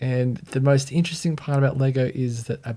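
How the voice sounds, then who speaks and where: This man has an Australian accent and a dark, mellow tone that sounds somewhat breathy. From Australia (Sydney). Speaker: brand identity designer. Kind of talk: livestream commentary. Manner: casual, conversational.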